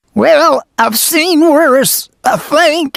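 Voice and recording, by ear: It is a cartoonish character voice pitched high.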